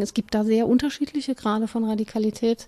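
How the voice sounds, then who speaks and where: This woman has a fairly high pitch and a dark, mellow tone. She speaks at a fairly quick pace with fairly even intonation. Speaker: podcast co-host, academic. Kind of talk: casual conversation.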